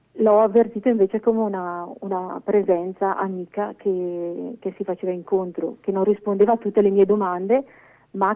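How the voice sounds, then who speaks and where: Music plays behind a woman speaking at a moderate pace. Her medium-pitched voice stays monotone and flat. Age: 50s. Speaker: cloistered nun. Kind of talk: testimony. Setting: phone call. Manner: halting.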